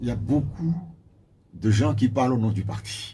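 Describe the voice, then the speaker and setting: A man speaks with a dark, mellow, somewhat breathy tone and lively intonation, with audible room echo around him. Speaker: party spokesperson. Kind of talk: radio interview. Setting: radio studio. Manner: quiet; halting. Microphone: too quiet.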